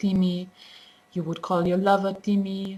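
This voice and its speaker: A woman with a German accent and fairly low pitch, over noticeable background noise. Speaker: language teacher. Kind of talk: tutorial. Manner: halting, many fillers.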